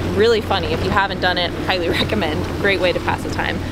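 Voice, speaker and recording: A woman speaks in a dry sound with no echo over loud background noise. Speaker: sailing vlogger. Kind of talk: casual vlog chat. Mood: excited, cheerful. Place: boat.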